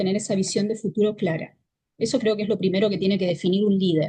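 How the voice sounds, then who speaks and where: This woman has a dark, mellow tone that is somewhat breathy. She talks at a fairly quick pace. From Argentina. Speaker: leadership consultant. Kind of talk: interview.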